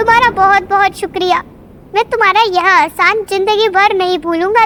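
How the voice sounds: An extremely high-pitched cartoonish character voice over clear background noise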